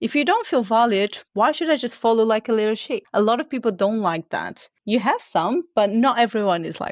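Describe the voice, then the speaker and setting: With a Portuguese accent, a woman speaks in a fairly high voice with lively intonation and hardly any pauses. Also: moderate pace. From Portugal. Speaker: continuous improvement leader. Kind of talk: podcast interview.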